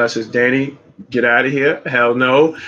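Speaking at a moderate pace with a Brooklyn accent, a man keeps a medium pitch and a monotone, flat intonation. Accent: New York (Brooklyn). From US, Brooklyn, New York City. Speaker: streamer and rideshare driver. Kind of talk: casual chat.

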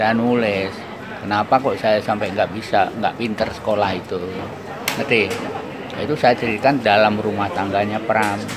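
A man speaks in a flat monotone at a fairly low pitch and moderate pace, with long, frequent pauses. Room echo is audible, and a crowd can be heard in the background. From Central Java, Indonesia (Blora). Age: 80s+. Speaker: writer. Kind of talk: interview. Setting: outdoors.

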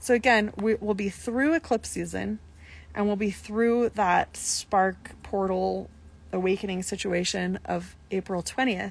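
A woman's relaxed tone at a fairly slow pace, in a very clean recording with a silent background. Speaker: astrologer. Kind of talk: live stream astrology reading. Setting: live stream, sitting in the sun. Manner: relaxed, meandering with fillers.

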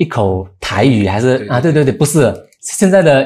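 On a very clean recording with a silent background, the man's voice carries a dark, mellow tone. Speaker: film director. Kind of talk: interview.

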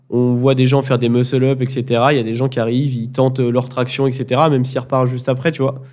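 The voice moves at a fairly quick pace in a monotone, flat manner. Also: man. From France, Grenoble. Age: 20s. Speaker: amateur street workout athlete. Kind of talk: casual chat. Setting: training facility in Bali.

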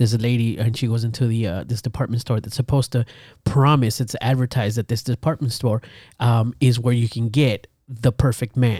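A man with a medium pitch and a dark, mellow, somewhat breathy tone speaks at a fairly quick pace with fairly even intonation, the sound dry and close with no echo. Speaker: podcast co-host. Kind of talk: casual chat. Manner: casual, laughing often.

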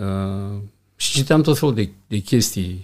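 A man with a fairly low pitch speaks very slowly in a very clean recording with a silent background. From Romania, Iași. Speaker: hotel general manager. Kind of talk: interview.

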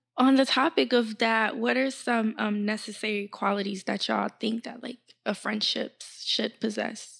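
A woman talks in a normal speaking voice, fairly high in pitch with ordinary pitch variation. Her pace is moderate, with hardly any pauses. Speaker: podcast host. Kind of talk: casual chat.

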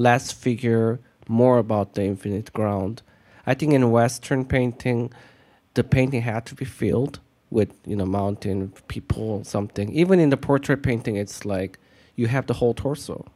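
In a Korean accent, the voice has a dark, mellow tone, ordinary pitch variation and a moderate pace. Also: man, medium pitch for a man. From South Korea. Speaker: artist and art teacher. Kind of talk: casual interview conversation. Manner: soft-spoken.

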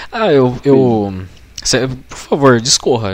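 Noticeable noise sits in the background. A man speaks with ordinary pitch variation. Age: 20s. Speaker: podcaster and designer. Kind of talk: casual chat.

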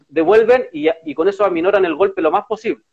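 A man speaks high for a man, with a Chilean accent and lively intonation. The sound is dry and close, without echo. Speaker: political podcast co-host. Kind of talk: casual political chat. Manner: animated.

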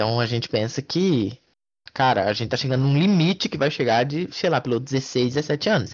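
Here a man uses a normal speaking voice at a medium pitch. He keeps a moderate pace and lively intonation. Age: 20s. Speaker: motorsport podcast co-host. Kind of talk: casual sports chat.

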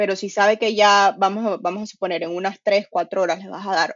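A woman with a Venezuelan accent speaks at a moderate pace in a medium pitch, her intonation monotone and flat. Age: 20s. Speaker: nutrition coach and personal trainer. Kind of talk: casual chat.

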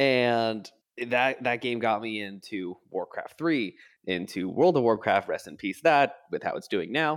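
An ordinary speaking voice with lively intonation and a fairly slow pace. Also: man, medium pitch for a man. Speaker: Dungeons and Dragons game master. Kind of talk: casual chat.

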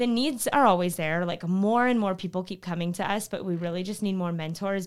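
On a very clean recording with a silent background, a woman talks at a fairly quick pace and medium pitch with ordinary pitch variation. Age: 20s. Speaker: nonprofit founder and director. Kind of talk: interview conversation. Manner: animated.

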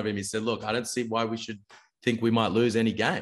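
A man talks at a very fast pace with an Australian accent. The background is quiet. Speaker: basketball podcast host. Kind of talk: casual chat. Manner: animated.

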